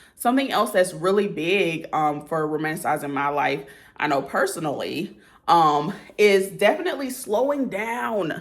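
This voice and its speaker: At a moderate pace, a woman of medium pitch speaks with very wide pitch swings amid audible room echo. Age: 30s. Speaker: lifestyle vlogger. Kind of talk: casual talk to camera.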